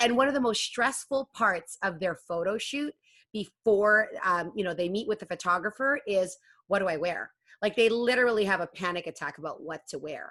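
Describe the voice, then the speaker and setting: A loud woman with a bright, sharp tone speaks at medium pitch and moderate pace, her intonation lively against a quiet background. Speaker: matchmaker and web series host. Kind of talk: interview.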